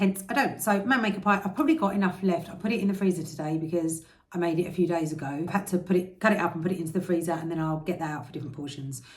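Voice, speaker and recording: A woman's fairly low voice in an English accent, at a very fast pace with hardly any pauses and ordinary pitch variation. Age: 40s. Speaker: health and diet vlogger. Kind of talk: vlog.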